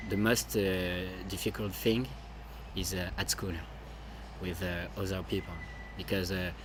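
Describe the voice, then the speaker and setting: With a French accent, a man speaks at a fairly slow pace in a very deep, low voice, leaving long, frequent pauses amid audible room echo. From France. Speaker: adoptee. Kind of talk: interview. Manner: halting.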